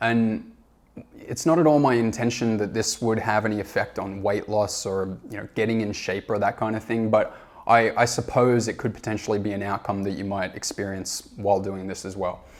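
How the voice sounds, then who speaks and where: A man speaks with an Australian accent. His pace is moderate and his intonation fairly even. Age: 30s. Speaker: self-help educator. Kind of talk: informational presentation. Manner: frequent fillers (uh, um).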